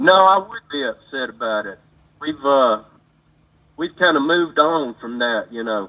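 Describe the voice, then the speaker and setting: A man with an Alabama accent at fairly high pitch, moderate in pace, with lively intonation, big swings in loudness, and long, frequent pauses. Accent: US Southern (Alabama). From Alabama, Montgomery. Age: 60s. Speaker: caller, former deputy sheriff. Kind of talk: phone call-in conversation.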